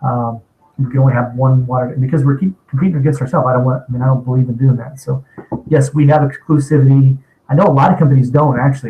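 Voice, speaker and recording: This man talks at a very fast pace in a somewhat breathy, dark and mellow tone. His pitch sits at a medium level, and his intonation stays fairly even. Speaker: internet marketing company owner. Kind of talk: webinar presentation.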